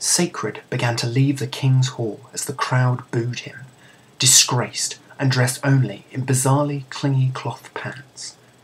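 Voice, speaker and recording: Over noticeable background noise, a man with a British accent talks at a fairly slow pace with monotone, flat intonation. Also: medium pitch for a man. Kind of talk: comedic read story. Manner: soothing.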